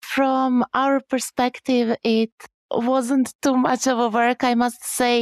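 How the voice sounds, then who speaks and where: A woman speaks at a very slow pace with monotone, flat intonation. The sound is dry and close with no echo. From Croatia. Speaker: mentor and project manager. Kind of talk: casual interview.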